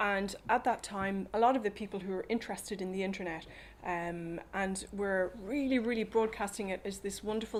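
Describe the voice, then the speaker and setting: With an Irish accent, a woman speaks at a moderate pace and medium pitch, keeping her intonation fairly even. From Ireland. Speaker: policy advocate. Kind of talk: talk to an audience. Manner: hesitant, many fillers.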